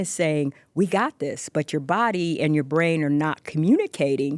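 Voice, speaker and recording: Recorded very cleanly with a silent background, a woman's voice comes across dry and close with no echo. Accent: American. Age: 60s. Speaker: pageant winner and volunteer educator. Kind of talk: radio interview. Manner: slow, commanding.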